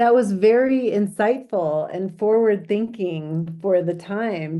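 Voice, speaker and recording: Using an unremarkable speaking voice, a woman talks fairly slowly, her pitch varying in an ordinary way. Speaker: former mayor. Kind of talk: interview questions.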